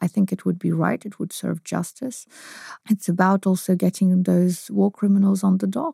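Somewhat breathy and dark, mellow in tone, a woman speaks at a medium pitch with fairly even intonation and a moderate pace. The very clean recording has a silent background and a dry, close sound with no echo. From Ukraine. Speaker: politician and lawyer. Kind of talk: interview.

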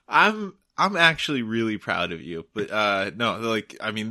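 A man sounds playful, his pitch swinging very widely. The recording is very clean, with a silent background. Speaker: guest. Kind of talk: casual banter chat. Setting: at home, drinking. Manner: joking, playful.

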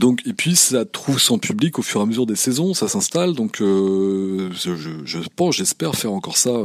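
This man speaks at a medium pitch with very wide pitch swings. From France, Normandy. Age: 40s. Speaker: photographer and podcast host. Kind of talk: interview conversation. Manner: hesitant, many fillers.

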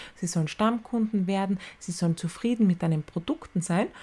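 A woman speaks at medium pitch in a somewhat breathy voice. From Austria, Styria. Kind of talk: solo podcast talk. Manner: casual.

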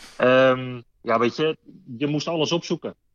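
A man with a slight Rotterdam accent speaks with fairly even intonation in a dry, close sound with no echo. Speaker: train conductor. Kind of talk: interview.

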